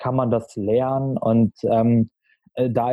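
Flat and monotone, a man's voice stays in a middle pitch range. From Berlin, Germany. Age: 20s. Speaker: marketing consultant. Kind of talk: podcast interview.

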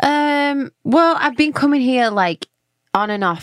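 A woman talks with a London accent at a fairly slow pace. The sound is dry and close, with no echo. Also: very clean recording, silent background. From London, England. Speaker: singer-songwriter. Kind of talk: casual interview chat.

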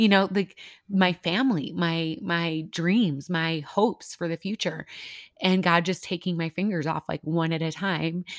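A plain, everyday voice from a woman with an American accent, at a medium pitch and fairly slow pace, dry and close with no echo in a very clean recording with a silent background. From US Midwest. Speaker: ministry leader and podcaster sharing her story. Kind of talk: testimony in a casual interview.

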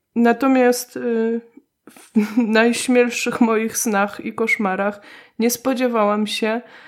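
A woman with fairly high pitch talks at a very slow pace in a monotone, flat intonation. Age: 30s. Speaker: podcast host. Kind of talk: casual chat.

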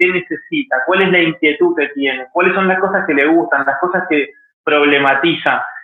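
A man speaks in a high pitch. His pace is fairly quick. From Argentina, Mendoza. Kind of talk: interview.

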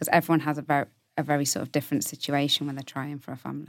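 The recording is very clean and the background silent. In it, a woman talks with a very deep, low pitch. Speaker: startup co-founder. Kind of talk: casual interview chat.

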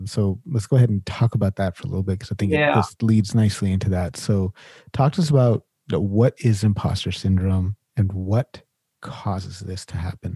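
A man with a dark, mellow, somewhat breathy tone speaks at a fairly quick pace with ordinary pitch variation, in a very clean, dry, close recording with no echo and a silent background. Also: fairly low pitch for a man. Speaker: podcast host. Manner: casual, uses filler "like" often.

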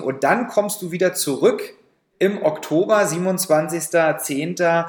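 The man speaks with a high pitch. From Saxony, Germany. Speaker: podcast co-host. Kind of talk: casual chat; interview.

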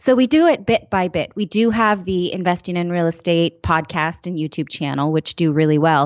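Speaking at a moderate pace with hardly any pauses, a woman uses an unremarkable speaking voice, fairly low in pitch with ordinary pitch variation. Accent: American. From California, East Bay area. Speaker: personal finance writer and broadcaster. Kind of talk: casual interview.

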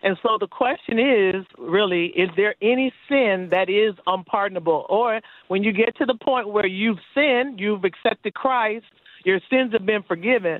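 Speaking at a moderate pace with a medium pitch and ordinary pitch variation, a woman has a plain, everyday voice with an American accent. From US, Florida. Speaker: caller. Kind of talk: call-in question. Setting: phone call. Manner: excitable.

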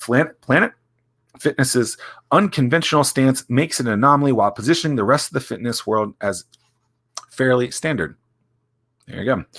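Captured in a very clean recording with a silent background, a man with an American accent and a plain, everyday voice talks at a medium pitch and fairly quick pace with lively intonation. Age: 30s. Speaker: author reading his own book as a podcast. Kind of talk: reading aloud with casual asides. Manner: casual, joking.

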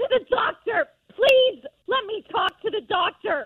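A put-on character voice at an extremely high pitch, delivered at a fairly slow pace. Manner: upset, agitated, demanding.

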